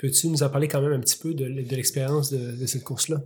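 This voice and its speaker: A man talks at a very fast pace with fairly even intonation. His voice is somewhat breathy. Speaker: podcast host. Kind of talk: interview. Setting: studio.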